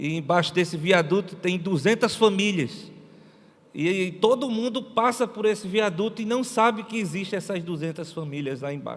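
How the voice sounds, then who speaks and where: The speaker has a northeastern Brazilian accent. The pace is moderate and the pitch varies in an ordinary way. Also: man. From Brazilian Northeast. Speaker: missionary pastor. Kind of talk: sermon.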